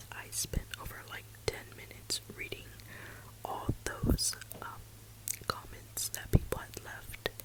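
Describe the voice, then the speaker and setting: Whispering at a very slow pace with long, frequent pauses, a woman's loudness swings widely over noticeable background noise. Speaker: ASMR creator. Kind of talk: whispered suspense storytime ASMR. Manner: soft-spoken, whispering.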